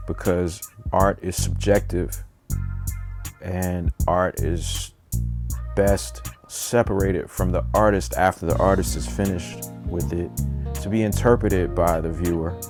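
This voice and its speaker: A man's very deep, low voice with lively intonation, a fairly slow pace and long, frequent pauses, plus music in the background. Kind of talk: stream-of-consciousness vlog monologue. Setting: home recording with a microphone.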